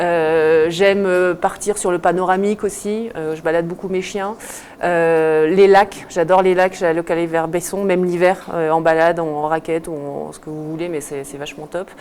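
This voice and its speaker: A woman's fairly low-pitched voice with fairly even intonation and big swings in loudness, over noticeable background noise. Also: moderate pace. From southern France (Lozère/Nîmes), then Alpe d'Huez from age 7. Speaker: ski instructor. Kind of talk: casual interview on morning show.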